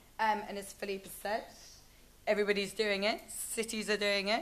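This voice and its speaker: A woman with a British accent speaks at a fairly quick pace. Her pitch is medium and her intonation fairly even. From Britain. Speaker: conference speaker. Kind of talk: presentation. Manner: hesitant, frequent fillers.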